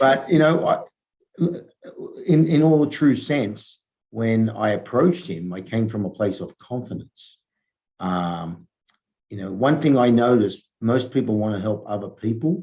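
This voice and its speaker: Pausing long and often, a man speaks at a fairly slow pace in a dark, mellow tone, his medium pitch set in lively intonation. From Australia. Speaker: entrepreneur, former rugby player. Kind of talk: interview.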